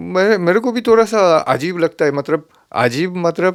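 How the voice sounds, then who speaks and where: A man speaks with a Japanese accent and lively intonation. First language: Japanese (speaking Hindi). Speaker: santoor player. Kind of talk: interview.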